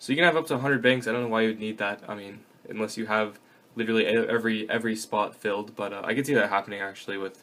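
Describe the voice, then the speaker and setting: This man's voice sits at a medium pitch, and his intonation is fairly even. He talks at a very fast pace. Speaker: gaming YouTuber. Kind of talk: tutorial. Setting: kneeling over desk at home. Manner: loud; casual with many fillers.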